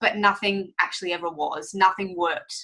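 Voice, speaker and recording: A woman talks at a fairly quick pace in an animated tone. Her voice sounds bright and sharp. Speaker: fitness coach. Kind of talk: sales webinar presentation. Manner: fast.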